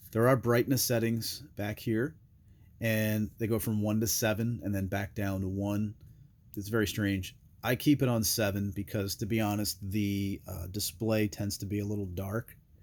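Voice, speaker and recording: Very clean recording, silent background, and a man with a plain, everyday voice, fairly low pitch, fairly even intonation and moderate pace. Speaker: gear reviewer. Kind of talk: product review. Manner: casual with many fillers.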